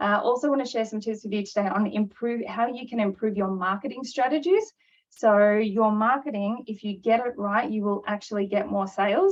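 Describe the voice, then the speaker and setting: Woman at a fairly high pitch, fairly quick pace and fairly even intonation. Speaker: NLP trainer and business coach. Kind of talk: webinar presentation. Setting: online webinar. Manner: fast.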